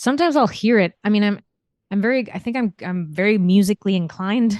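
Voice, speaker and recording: Against a quiet background, a woman with a Spanish accent talks at a fairly quick pace with ordinary pitch variation, in a dry, close sound with no echo. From Spain. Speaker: novelist. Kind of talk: interview. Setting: podcast interview. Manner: halting, frequent self-repetition.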